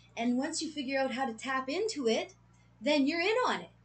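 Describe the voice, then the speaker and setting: A woman's high-pitched, animated voice with lively intonation at a fairly quick pace. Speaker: tarot reader. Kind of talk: collective tarot reading. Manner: fast.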